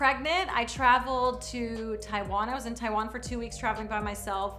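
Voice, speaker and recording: Audible room echo and noticeable background noise surround a woman speaking with an American accent. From US South, South Carolina. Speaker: TV host and entertainment reporter. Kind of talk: casual interview monologue.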